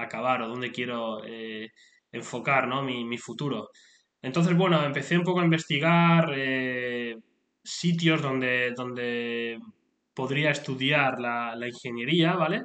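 A man's bright, sharp voice at a medium pitch, with ordinary pitch variation and a fairly slow pace. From Spain. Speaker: motorsport podcaster and engineer. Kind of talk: solo podcast monologue. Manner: halting, many fillers and repetitions.

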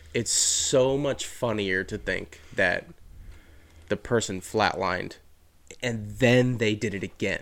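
A man speaks in an American accent at a very slow pace. Long, frequent pauses break up his speech. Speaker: podcast host. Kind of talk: casual chat.

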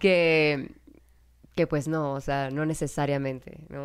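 A woman speaks at a very deep, low pitch and a fairly slow pace. The recording is very clean, with a silent background. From Mexico. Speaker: podcast co-host, mother. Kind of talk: casual chat.

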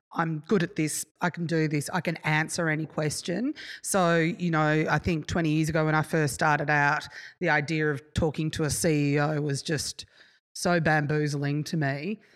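In an Australian accent, a woman talks at a moderate pace with a very deep, low pitch and fairly even intonation, in a very clean recording with a silent background. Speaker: event manager. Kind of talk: casual chat. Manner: loud.

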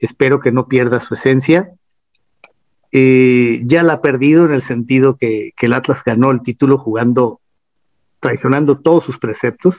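An ordinary speaking voice, this man talks at a moderate pace and medium pitch with fairly even intonation, in a dry, close sound with no echo. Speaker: singer-songwriter and football history writer. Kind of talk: casual interview chat.

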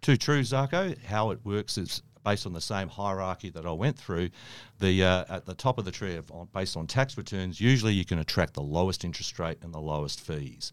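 Very deep, low male voice at a fairly quick pace with big swings in loudness, on a very clean recording with a silent background. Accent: Australian. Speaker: mortgage broker. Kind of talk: podcast interview. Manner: halting, many fillers.

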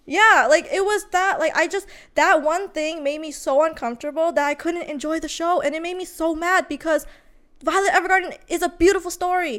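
In a very clean recording with a silent background, a woman with an extremely high pitch speaks at a fairly quick pace in an animated tone, her pitch varying in an ordinary way. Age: 20s. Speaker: anime podcast co-host. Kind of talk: casual debate.

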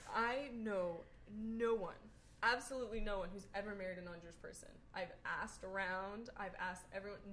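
With an American accent, a woman of medium pitch talks at a fairly quick pace with fairly even intonation. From New York. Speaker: podcast guest. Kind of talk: casual chat.

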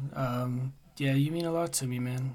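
Speaking at a fairly slow pace, a man has a medium pitch and a dark, mellow tone. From United States. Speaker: podcast guest, friend of host. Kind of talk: casual chat.

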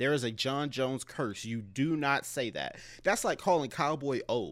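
On a very clean recording with a silent background, a man with an unremarkable speaking voice talks at a moderate pace in a fairly high pitch with ordinary pitch variation. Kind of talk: casual chat.

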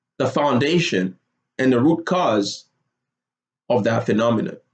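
A man talks in an animated tone. Vocal fry runs through his voice. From Nigeria (Lagos). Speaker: podcast host. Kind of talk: monologue.

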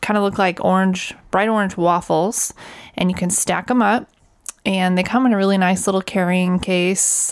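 At a moderate pace, a woman talks in an unremarkable speaking voice pitched at a medium level. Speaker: RV podcast co-host. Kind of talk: casual chat.

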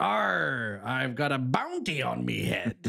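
A man speaks at a fairly slow pace in a put-on character voice of medium pitch, with light background noise behind him.

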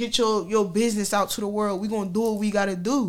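Here a woman is speaking. Her pitch is fairly high. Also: very clean recording, silent background. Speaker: podcast host. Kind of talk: casual chat. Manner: informal, animated.

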